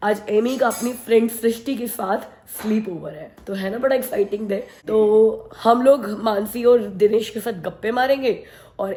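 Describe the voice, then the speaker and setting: The voice carries a fairly even intonation over noticeable background noise. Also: woman. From India. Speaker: family vlogger. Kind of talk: casual vlog talk.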